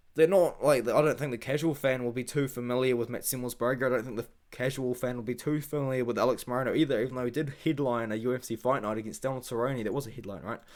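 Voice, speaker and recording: Speaking at a very fast pace with hardly any pauses, a man with a New Zealand accent keeps a medium pitch and fairly even intonation. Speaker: MMA YouTuber and fight analyst. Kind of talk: casual fight predictions monologue. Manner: casual, rambling with fillers.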